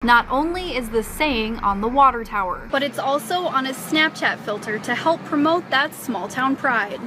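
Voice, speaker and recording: High-pitched woman's voice at a moderate pace, ordinary pitch variation, noticeable background noise. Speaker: TV news reporter. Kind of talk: TV news reporter stand-up and package narration.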